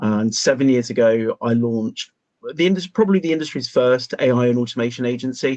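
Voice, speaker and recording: With a British accent, a man talks very fast at a medium pitch. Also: ordinary pitch variation, dry, close sound with no echo. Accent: British, unlike the others. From UK. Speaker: AI recruitment consultant. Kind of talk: panel discussion.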